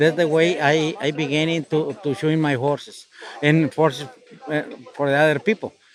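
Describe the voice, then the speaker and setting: Noticeable background noise fills the recording. Intonation holds fairly even throughout. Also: man, fairly high pitch for a man, moderate pace. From Mexico, Jalisco. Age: 70s. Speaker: farrier. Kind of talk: interview. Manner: halting.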